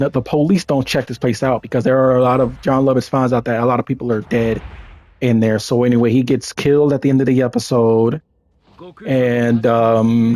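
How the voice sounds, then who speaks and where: A man with a dark, mellow tone speaks at a medium pitch and a fairly quick pace, his intonation fairly even. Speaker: gaming YouTuber. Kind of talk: casual commentary review. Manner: halting, many fillers.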